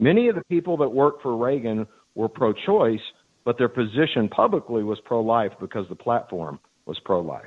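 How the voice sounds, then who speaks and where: A man with an American accent, a plain, everyday voice at a medium pitch, lively intonation and a moderate pace. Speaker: caller. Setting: phone call.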